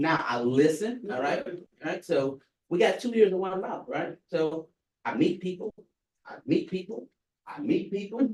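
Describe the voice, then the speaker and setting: A man's high-pitched voice at a moderate pace, with big swings in loudness, very wide pitch swings, and long, frequent pauses. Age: 50s. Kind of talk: panel discussion.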